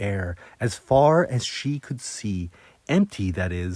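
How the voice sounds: The intonation is lively as someone reads in a natural reading voice.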